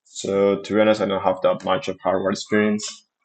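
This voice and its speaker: Speaking with a non-native accent, this man has a fairly low voice. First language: not English. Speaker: software developer streamer. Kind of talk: reading aloud with commentary. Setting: live stream. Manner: halting.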